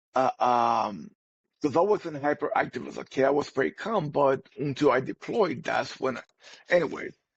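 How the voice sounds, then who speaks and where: With a Puerto Rican accent, a man with a fairly high pitch and vocal fry speaks at a moderate pace with lively intonation. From Puerto Rico. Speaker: army veteran, podcast co-host. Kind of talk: casual chat. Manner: halting.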